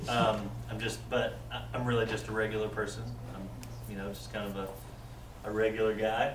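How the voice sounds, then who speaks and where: A man with an American accent talks at a moderate pace. Noticeable background noise and audible room echo fill the recording. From Texas. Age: 20s. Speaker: church member sharing conversion story. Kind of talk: testimony.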